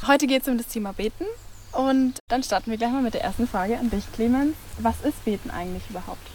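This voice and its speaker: A woman talks at a very fast pace with a fairly high pitch. Her pitch varies in an ordinary way, and there is noticeable background noise. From Bavaria, Eichstätt district. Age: 19. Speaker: nursing trainee. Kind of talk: presenting a youth faith series.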